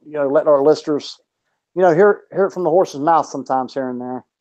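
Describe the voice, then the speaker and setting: Against a quiet background, a man with a Southern US accent speaks at a fairly high pitch in a dark, mellow tone with fairly even intonation. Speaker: boxing podcast co-host. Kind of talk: casual chat.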